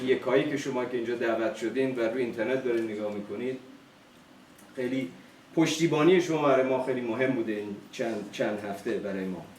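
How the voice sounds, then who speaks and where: The speaker is a man. Room echo can be heard. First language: Farsi. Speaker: family speaker at a private event. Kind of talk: speech to guests. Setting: event with audience, streamed live. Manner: halting.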